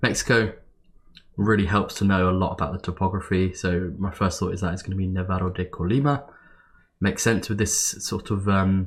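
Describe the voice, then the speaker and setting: A man with a very deep, low voice speaks at a moderate pace, sounding somewhat breathy. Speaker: geography game player. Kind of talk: gameplay commentary. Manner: casual, hesitant.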